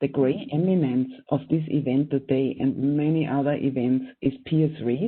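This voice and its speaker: A woman's very deep, low voice with fairly even intonation at a fairly slow pace. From Austria. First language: German. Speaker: professor and event moderator. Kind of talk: panel event introduction. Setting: online video event.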